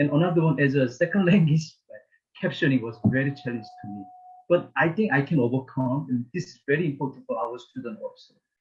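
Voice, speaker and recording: A man with a strong non-native accent speaks at a fairly quick pace and fairly high pitch, with ordinary pitch variation. His voice is somewhat breathy and swings widely in loudness. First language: not English. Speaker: STEM faculty member. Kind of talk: panel discussion. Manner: halting.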